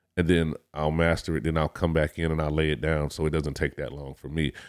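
Recorded very cleanly against a silent background, with a dry, close sound and no echo, a man speaks in a very deep, low pitch at a fairly quick pace. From Detroit, Michigan. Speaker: rapper. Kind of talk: casual interview.

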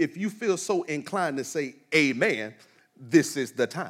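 The man's pitch is fairly high, with very wide swings. His tone comes across as animated. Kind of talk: sermon. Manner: animated, call-and-response, inviting the congregation to say amen.

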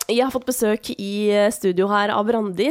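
Here is a woman with a normal speaking voice of medium pitch. She talks at a moderate pace with ordinary pitch variation. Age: 30s. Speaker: podcast host. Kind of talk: casual interview. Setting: studio.

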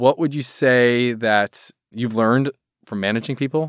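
A normal speaking voice keeps a moderate pace and fairly even intonation, with a dry, close sound with no echo. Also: man. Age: 40s. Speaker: ad agency founder, podcast host. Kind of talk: casual interview.

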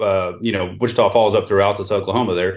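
A man with an American accent and a fairly low pitch at a very fast pace. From Houston, Texas. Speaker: grain elevator manager and merchandiser. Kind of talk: casual interview.

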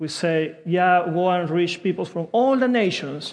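Against a quiet background, a man with a Spanish accent talks at a fairly slow pace in a high pitch. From South America. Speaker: pastor. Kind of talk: sermon. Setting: church.

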